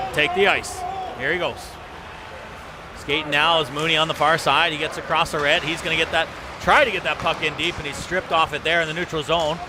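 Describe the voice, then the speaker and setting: There is noticeable background noise behind this man. He talks at a fairly quick pace with a fairly high pitch. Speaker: hockey play-by-play announcer. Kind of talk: live commentary. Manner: fast; animated.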